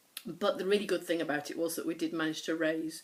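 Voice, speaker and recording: A woman with a northern English accent speaks at a fairly quick pace in a fairly low pitch. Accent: mild northern English. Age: 50s. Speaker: knitting podcaster. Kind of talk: casual chat. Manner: fast.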